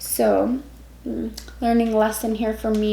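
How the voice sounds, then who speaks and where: Audible room echo surrounds a woman's voice. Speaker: tarot reader. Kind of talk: tarot reading. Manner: stumbles over words when reading.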